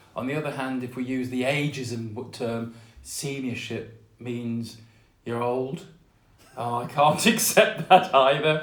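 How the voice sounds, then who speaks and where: In a room with audible echo, a man talks at a medium pitch. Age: 60s. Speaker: author and artist. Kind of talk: interview.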